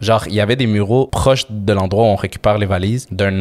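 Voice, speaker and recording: Speaking in a Quebec accent, a man with a fairly low pitch talks at a fairly quick pace in a flat, monotone way. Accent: Québécois French. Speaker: podcast co-host. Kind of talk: casual chat.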